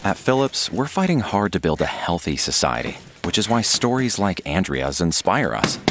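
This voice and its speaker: The speaker keeps a moderate pace and a very even loudness while the pitch swings very widely. Noticeable background noise is present. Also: man, fairly low pitch for a man. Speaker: voice actor. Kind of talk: radio commercial read.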